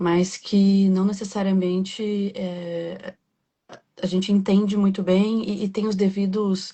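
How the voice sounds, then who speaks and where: Speaking at a very slow pace, a woman sounds somewhat breathy. Her intonation is monotone and flat. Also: medium pitch for a woman. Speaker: podcast host. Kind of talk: interview. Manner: soft-spoken.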